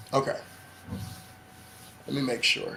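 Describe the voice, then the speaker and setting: A man speaks at a moderate pace in an animated tone. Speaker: livestream show host. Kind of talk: live-streamed interview. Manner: loud.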